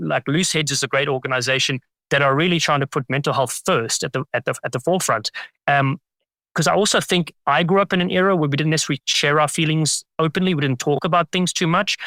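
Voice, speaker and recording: Fairly high for a man, his bright, sharp voice moves at a very fast pace with very even loudness and ordinary pitch variation, recorded dry and close with no echo. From South Africa. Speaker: rugby commentator. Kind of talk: interview answer. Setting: remote call.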